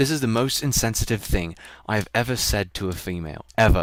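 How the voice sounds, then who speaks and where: A man at a fairly quick pace with lively intonation, on a very clean recording with a silent background. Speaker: streamer. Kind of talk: casual chat. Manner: fast; halting.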